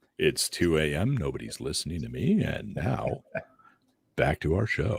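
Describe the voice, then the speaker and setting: With a very deep, low pitch, this man puts on a character voice and talks at a moderate speed. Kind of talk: radio announcer.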